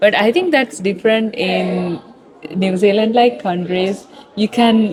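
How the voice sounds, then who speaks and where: Over noticeable background noise, a woman speaks at a fairly slow pace in a medium pitch. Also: ordinary pitch variation. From Sri Lanka. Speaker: university student. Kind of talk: street interview. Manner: hesitant, with fillers.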